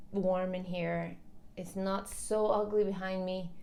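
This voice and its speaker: At a very slow pace, a woman talks in a medium pitch. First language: not English. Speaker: commentary vlogger. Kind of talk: opinion vlog. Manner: casual, conversational.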